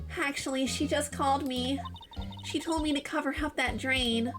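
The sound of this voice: A woman puts on a character voice that is high and nasal. She keeps a moderate pace over clear background noise.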